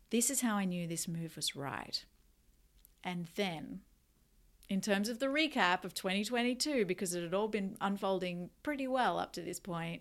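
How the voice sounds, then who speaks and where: A woman speaks at a moderate pace with an Australian accent. Her pitch is medium and her intonation lively. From Australia, Newcastle NSW. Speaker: podcast host, energy healer and coach. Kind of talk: casual solo podcast monologue.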